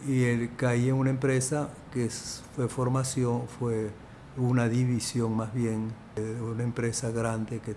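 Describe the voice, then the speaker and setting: A man speaks with a Venezuelan accent at a medium pitch. His intonation stays flat and monotone. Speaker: film producer. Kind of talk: interview answer.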